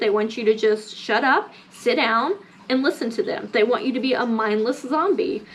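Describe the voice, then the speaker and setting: Lively intonation and an animated tone mark this moderate-paced speech in an American accent, with noticeable background noise. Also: woman. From US South, Mississippi. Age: 30s. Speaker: lifestyle vlogger. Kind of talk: casual rant vlog.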